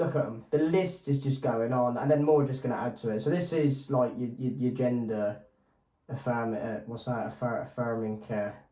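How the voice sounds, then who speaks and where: A man with an English accent speaks at a moderate pace. His tone is dark and mellow at a medium pitch. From England. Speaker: podcast co-host. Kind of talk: casual chat.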